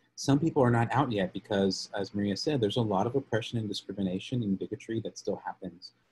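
In an American accent, a somewhat breathy voice races along at a very fast pace with ordinary pitch variation. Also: man. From Texas, Lubbock; Texas. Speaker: policy advocate; presenter. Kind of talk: webinar presentation; training presentation. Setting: video call. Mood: friendly, earnest. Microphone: video call.

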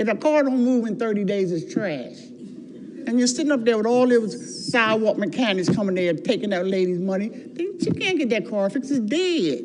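Her fairly high voice swings very widely in pitch as a woman speaks at a moderate pace, with audible room echo and noticeable background noise. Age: 70s. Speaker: resident speaking at public comment. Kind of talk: public comment at city council meeting. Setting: city council meeting. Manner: animated.

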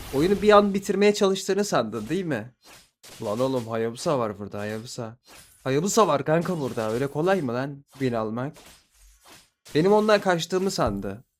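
This man's voice sits fairly high and swings very widely in pitch. His tone is animated, and he keeps a moderate pace. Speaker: gaming streamer. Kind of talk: live gameplay commentary.

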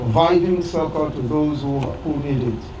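Noticeable background noise around a man's moderately paced speech with ordinary pitch variation. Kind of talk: public address to community leaders. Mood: earnest, measured. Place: open country. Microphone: handheld.

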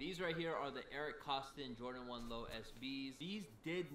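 A man's voice with audible room echo and light background noise. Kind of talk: collection showcase commentary. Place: home room.

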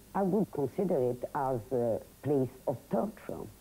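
A woman speaks with a French accent in a very deep, low pitch and a dark, mellow tone. Her intonation is lively and her pace very slow. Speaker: companion of the writer. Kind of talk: interview voiceover.

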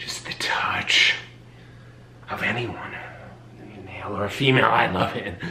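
A man whispers in a put-on character voice at a fairly slow pace. Audible room echo is present.

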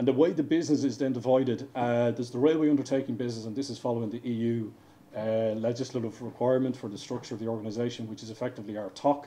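In an Irish accent, a man rattles along at a very fast pace with fairly even intonation. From Ireland. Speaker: railway engineering director. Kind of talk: conference presentation. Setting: stage with audience. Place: hall.

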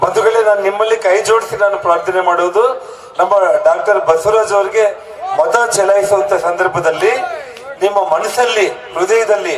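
Noticeable background noise and audible room echo fill the recording. A man speaks at a high pitch with ordinary pitch variation. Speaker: politician. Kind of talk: campaign rally speech. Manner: emphatic, oratorical.

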